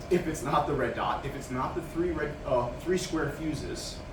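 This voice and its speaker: A man's animated tone comes at a moderate pace, with noticeable background noise and audible echo from the room. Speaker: medical equipment trainer. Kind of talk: in-service training demonstration.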